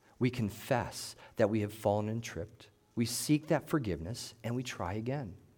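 A man with a plain, everyday voice and lively intonation at a moderate pace, in a very clean recording with a silent background. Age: 40s. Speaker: pastor. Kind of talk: sermon.

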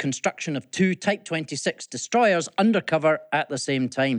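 Someone with a Scottish accent is heard dry and close with no echo against a quiet background. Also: man. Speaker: business leader. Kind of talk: scripted report.

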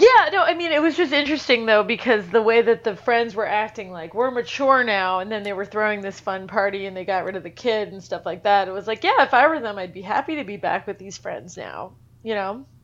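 A woman with a normal speaking voice talks at a fairly quick pace and a fairly high pitch, her intonation lively and her loudness swinging widely. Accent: American. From New York. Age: 30s. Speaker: screenwriter and novelist. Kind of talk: casual chat.

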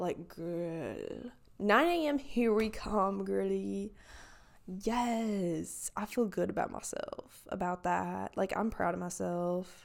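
Speaking at a very slow pace, a woman talks in a Southern US accent. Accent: Southern US country. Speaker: podcaster. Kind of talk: casual solo chat. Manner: rambling, heavy filler words.

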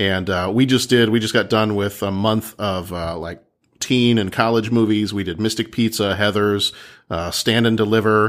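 With an American accent and an ordinary speaking voice, a man talks at a moderate pace and fairly low pitch with fairly even intonation, on a very clean recording with a silent background. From Texas. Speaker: podcaster. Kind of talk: casual chat.

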